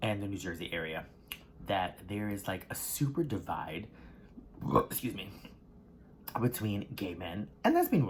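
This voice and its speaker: A man's somewhat breathy voice with an American accent, at a moderate pace with ordinary pitch variation and long, frequent pauses. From US South. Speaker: mukbang creator. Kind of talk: casual talk to camera while eating.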